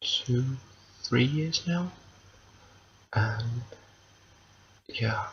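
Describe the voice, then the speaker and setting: Soft-spoken and whispering, a man talks at a very slow pace. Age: 20s. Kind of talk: ASMR whisper ramble to camera. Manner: whispered, soft-spoken.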